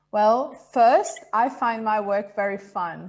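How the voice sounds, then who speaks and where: Her pitch medium, a woman speaks with ordinary pitch variation. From Italy, then Brazil from age 10. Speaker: real estate agent. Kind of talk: casual interview.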